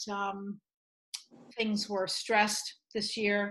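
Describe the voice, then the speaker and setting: A woman speaks over noticeable background noise. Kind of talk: meeting remarks. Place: kitchen. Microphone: video call.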